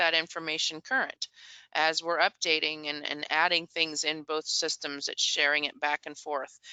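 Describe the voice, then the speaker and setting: The speaker is a woman with a fairly low pitch and a plain, everyday voice. She keeps a moderate pace. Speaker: software integration presenter. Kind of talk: product demo webinar.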